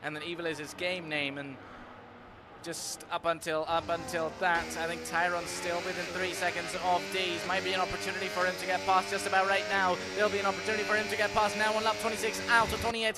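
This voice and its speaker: A man talking at a very fast pace, with music in the background. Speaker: sim racing commentator. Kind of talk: live commentary. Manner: animated.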